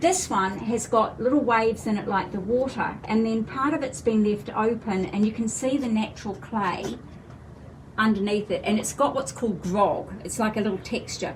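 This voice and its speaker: A woman speaks with a New Zealand accent at a fairly high pitch and ordinary pitch variation. Noticeable background noise and audible room echo surround her. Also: moderate pace. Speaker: fashion designer. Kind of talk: live product presentation. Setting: livestream video.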